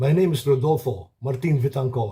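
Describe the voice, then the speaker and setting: Dark and mellow in tone, a man's voice sits at a medium pitch and is somewhat breathy. He talks at a fairly slow pace with lively intonation. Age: 70s. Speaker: cancer survivor. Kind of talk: testimony.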